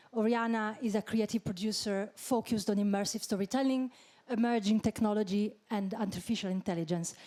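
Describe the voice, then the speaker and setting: In a non-native accent, the speaker has a dark, mellow tone, a fairly quick pace, fairly even intonation and very even loudness. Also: woman, fairly high pitch for a woman. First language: not English. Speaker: panel moderator. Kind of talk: panel discussion moderation. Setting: stage with audience.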